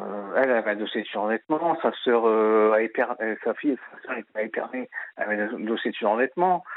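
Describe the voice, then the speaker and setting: A medium-pitched man talks at a moderate pace, his pitch shifting in an ordinary way. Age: 30s. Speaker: radio caller. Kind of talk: phone-in testimony. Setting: phone call. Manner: halting.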